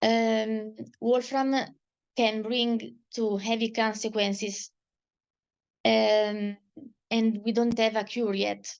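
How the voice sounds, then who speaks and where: Against a quiet background, a woman speaks at a very slow pace and a fairly high pitch, with monotone, flat intonation and long, frequent pauses. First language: Italian. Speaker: patient advocate. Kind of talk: testimony. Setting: video call. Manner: halting.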